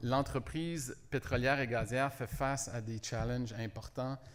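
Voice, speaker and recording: In a very clean recording with a silent background, a man with a strong French-Canadian accent talks at a medium pitch in a flat, monotone way. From Quebec, Montreal. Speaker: company executive. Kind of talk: business presentation.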